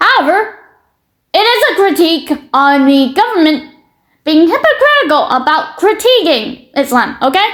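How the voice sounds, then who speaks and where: At a moderate pace, a woman speaks at an extremely high pitch with very wide pitch swings and very even loudness. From Britain. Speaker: YouTuber commentator. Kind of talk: reaction commentary. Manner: halting.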